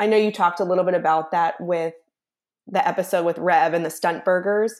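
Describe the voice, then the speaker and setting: A woman talks with ordinary pitch variation. The recording is very clean with a silent background. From Philadelphia, US. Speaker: food blogger and festival organizer. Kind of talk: casual interview chat.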